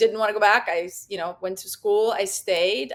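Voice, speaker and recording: With a Russian accent, a woman speaks at a medium pitch and a fairly quick pace. The recording is very clean, with a silent background. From Russia, Saint Petersburg. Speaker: yachting content creator. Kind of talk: casual chat.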